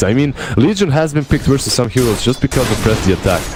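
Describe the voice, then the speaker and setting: Music plays in the background. A man with a Slavic accent talks at a medium pitch. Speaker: esports commentator. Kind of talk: live commentary.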